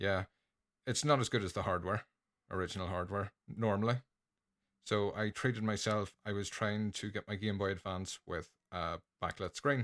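A man with an Irish accent, fairly low in pitch and fairly even in intonation, with long, frequent pauses, on a very clean recording with a silent background and a dry, close sound with no echo. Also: moderate pace. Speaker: podcaster. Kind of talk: casual chat.

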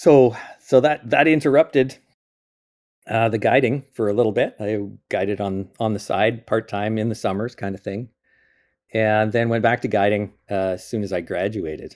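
A man's fairly low, normal speaking voice with a Canadian accent, ordinary pitch variation and a moderate pace. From Eastern Canada. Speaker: mountain guide and professor emeritus. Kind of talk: interview. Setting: remote call.

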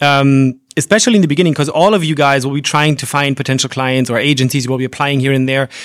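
A man with a fairly high voice speaks at a very fast pace. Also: ordinary pitch variation, hardly any pauses. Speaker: podcast co-host and conference interpreter. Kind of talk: live podcast recording, Q&A with students. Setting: interpreting suite with live audience. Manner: fast talker.

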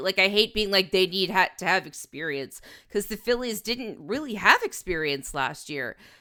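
In a very clean recording with a silent background, a woman speaks in a bright, sharp tone. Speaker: podcast co-host, sports writer. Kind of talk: casual sports recap chat.

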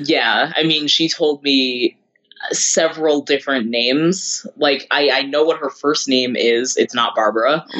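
In a plain, everyday voice, the speaker talks at a fairly slow pace with very even loudness and fairly even intonation. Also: man, fairly high pitch for a man. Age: 30s. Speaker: podcast co-host, baseball and metal fan. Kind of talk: casual chat.

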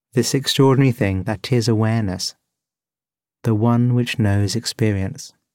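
A man talks at a moderate pace in an ordinary speaking voice of medium pitch. His intonation is fairly even and his loudness very even. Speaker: meditation podcast host and guide. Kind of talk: guided meditation and narration. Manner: calm, soothing.

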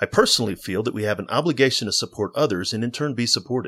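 A man with an American accent and a medium pitch talks at a very fast pace with lively intonation, on a very clean recording with a silent background. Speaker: podcast host and combat veteran. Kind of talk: interview. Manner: halting, with fillers and repetitions.

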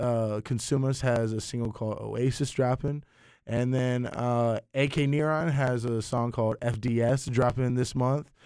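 A man with a medium pitch talks at a fairly slow pace in an ordinary speaking voice with fairly even intonation, on a very clean recording with a silent background. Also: hardly any pauses. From eastern North Carolina (Greenville), born in Russia. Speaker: DJ and podcast host. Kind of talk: casual interview chat.

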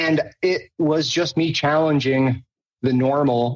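A man's voice with fairly even intonation. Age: 40s. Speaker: afterlife researcher. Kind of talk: casual chat. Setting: video call. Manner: halting.

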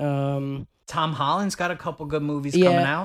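Heard in a very clean recording with a silent background, a man with an ordinary speaking voice talks at a moderate pace, fairly high in pitch with fairly even intonation. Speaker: podcast co-host. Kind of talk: casual, profane banter.

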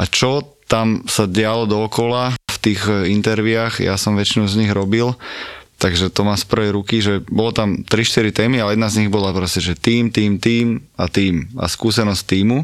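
This man has a fairly low voice and an unremarkable speaking voice. He talks at a moderate pace with fairly even intonation. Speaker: podcast host. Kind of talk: interview.

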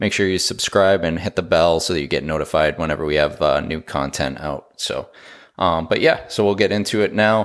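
A man speaks in an ordinary speaking voice. His pitch varies in an ordinary way. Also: very clean recording, silent background. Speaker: podcast host. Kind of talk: casual chat.

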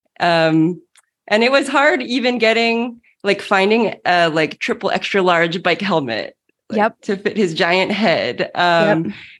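Using an unremarkable speaking voice, a woman talks at a medium pitch. Her pace is fairly slow and her intonation lively. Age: 40s. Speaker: triathlete and podcast co-host. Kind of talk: casual chat.

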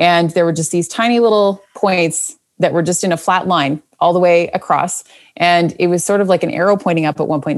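On a very clean recording with a silent background, a woman speaks fairly quickly in an ordinary speaking voice, her pitch fairly low and her intonation fairly even. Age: 30s. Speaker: podcast coach. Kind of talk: interview.

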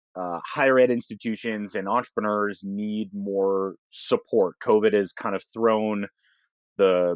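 A plain, everyday voice with an American accent, ordinary pitch variation and a fairly slow pace. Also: man. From Boston suburbs, US. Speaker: lab executive director. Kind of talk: interview conversation.

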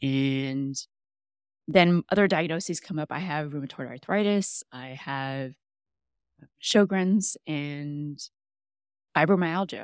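In a Texan accent, a woman with a very deep, low pitch and ordinary pitch variation speaks at a very slow pace, with long, frequent pauses and big swings in loudness. The recording is very clean with a silent background and a dry, close sound with no echo. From Texas, San Antonio. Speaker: health coach. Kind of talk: casual interview.

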